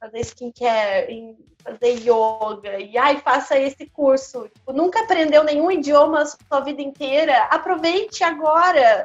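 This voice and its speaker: A woman talks at a very slow pace with ordinary pitch variation. Music plays in the background. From São Paulo state, Brazil (Campinas, Santa Gertrudes). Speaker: stage actress. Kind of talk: casual interview chat.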